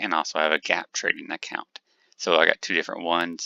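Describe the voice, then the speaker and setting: A soft-spoken man with a very deep, low pitch. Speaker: day trader. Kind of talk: screen-share trading tutorial. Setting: home desk with multiple monitors.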